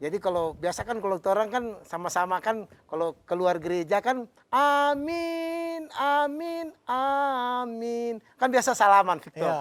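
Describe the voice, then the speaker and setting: With a Manado accent, the speaker goes at a fairly slow pace in a very clean recording with a silent background. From Manado, Indonesia. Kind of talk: casual conversational.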